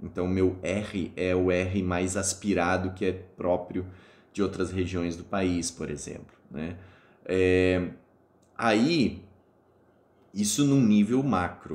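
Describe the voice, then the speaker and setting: Very deep and low, a man's voice moves at a very slow pace with long, frequent pauses and ordinary pitch variation. The room echo is audible. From Espírito Santo, Brazil (born Rio Grande do Sul). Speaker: university lecturer. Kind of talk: lecture. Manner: hesitant, many fillers.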